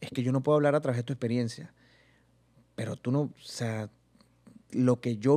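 At a fairly quick pace and a medium pitch, a man speaks in a dark, mellow tone over a quiet background. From Venezuela, Barinas (llanos region); Venezuela. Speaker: comedian and youtuber; comedian, youtuber. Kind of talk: casual interview chat. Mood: relaxed, animated storytelling. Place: studio. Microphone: studio mic.

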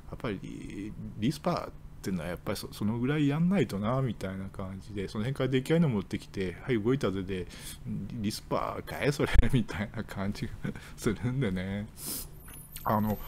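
Against light background noise, a man with a fairly low pitch and ordinary pitch variation speaks at a moderate pace, leaving long, frequent pauses. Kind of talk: casual chat / commentary. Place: home room. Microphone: webcam.

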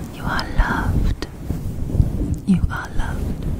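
The sound is dry with no echo, but loud background noise runs underneath. A woman speaks at a very slow pace. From Wales. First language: Welsh. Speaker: ASMR creator. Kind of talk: ASMR positive affirmations. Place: home room. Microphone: studio mic.

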